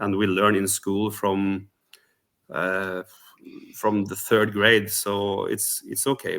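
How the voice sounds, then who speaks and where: Speaking at a very slow pace, a man with a Norwegian accent uses a fairly low-pitched voice. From Norway. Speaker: rock singer, contest entrant. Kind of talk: interview. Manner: halting, many fillers.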